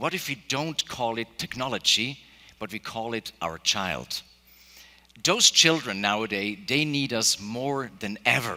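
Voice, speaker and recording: This man speaks at a fairly slow pace in a medium-pitched voice, his tone bright and sharp and his intonation lively. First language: Spanish and German. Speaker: keynote speaker, AI entrepreneur. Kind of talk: keynote speech. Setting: stage with audience.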